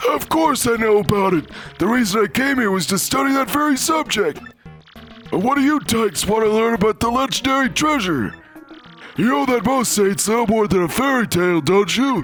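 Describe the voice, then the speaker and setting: A man's put-on character voice, high-pitched and creaky, at a fairly quick pace with lively intonation over clear music in the background. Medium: game stream. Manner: rambling, scholarly.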